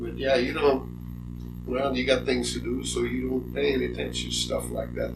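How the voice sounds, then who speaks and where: A man speaks at a moderate pace. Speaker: Korean War Navy veteran. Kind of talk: interview answer.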